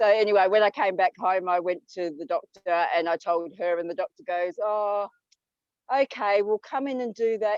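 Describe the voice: At a moderate pace, a woman speaks at a medium pitch with ordinary pitch variation and a slightly mellow tone, in a dry, close sound with no echo.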